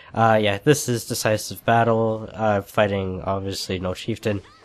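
Music plays in the background as a man with a fairly low pitch speaks in fairly even intonation. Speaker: gaming commentator. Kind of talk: gameplay commentary. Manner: casual.

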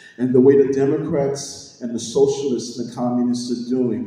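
A man's voice with strong room echo. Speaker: candidate. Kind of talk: political speech. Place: hall. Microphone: camera far.

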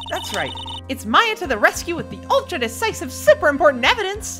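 Over clear background music, a put-on character voice delivers a bubbly, energetic tone at a fairly quick pace. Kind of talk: comic game voice acting. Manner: bubbly, teasing, energetic.

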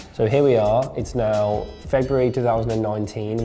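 A man's intonation is fairly even. Faint music plays in the background. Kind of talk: interview answer. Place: office. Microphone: lapel.

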